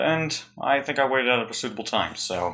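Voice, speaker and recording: The man's tone comes across bright and sharp, with ordinary pitch variation. He speaks quietly. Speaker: YouTuber. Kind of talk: casual haul video.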